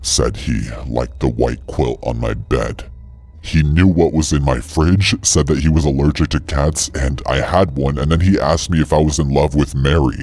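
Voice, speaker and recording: Over music in the background, a man performs a put-on character voice at a moderate pace. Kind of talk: horror narration. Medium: read story. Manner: measured, suspenseful.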